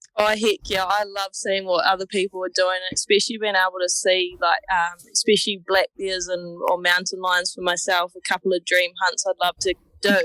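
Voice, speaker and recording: In a dry, close sound with no echo, a woman speaks at a moderate pace and medium pitch, hardly pausing, with monotone, flat intonation. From New Zealand. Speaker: hunter. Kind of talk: interview.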